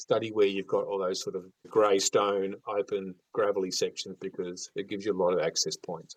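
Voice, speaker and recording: A man with an Australian accent talks at a fairly quick pace, the sound dry and close with no echo. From mainland Australia. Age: 60s. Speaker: fishing expert. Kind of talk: podcast interview.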